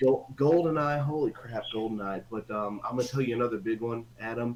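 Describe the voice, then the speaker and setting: Talking at a fairly quick pace, a man with an American accent has a medium pitch, ordinary pitch variation and noticeable background noise behind him. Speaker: old school friend of the host. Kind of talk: casual chat. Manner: fast.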